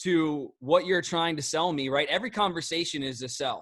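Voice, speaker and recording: Against a quiet background, a man with a high pitch and a Philadelphia accent speaks in an animated tone at a moderate pace. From South Philadelphia, US. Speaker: network marketing trainer. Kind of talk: training call. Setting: group call.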